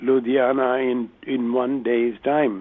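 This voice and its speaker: At a very slow pace, a man with a medium pitch talks in an Indian accent. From southern India. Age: 80s+. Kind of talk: testimony. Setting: phone call.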